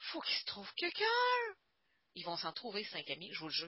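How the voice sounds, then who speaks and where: A woman talks with a Quebec accent. Her pitch swings very widely. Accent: Québécois French. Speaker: stamping product demonstrator and trainer. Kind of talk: online workshop lecture. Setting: group Skype call. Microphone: reverb on the call.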